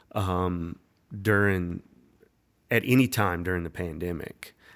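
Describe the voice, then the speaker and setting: A man's very deep, low voice with a North Carolina accent, fairly even intonation, and a very clean recording over a silent background. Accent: Southern US (North Carolina). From North Carolina, Winston-Salem area. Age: 30s. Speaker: songwriter and musician. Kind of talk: casual chat.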